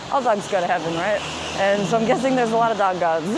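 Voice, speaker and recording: A woman talks at a very fast pace with ordinary pitch variation. There is noticeable background noise and audible room echo. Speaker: vlogger. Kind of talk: casual monologue. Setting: outdoors, walking up a hill.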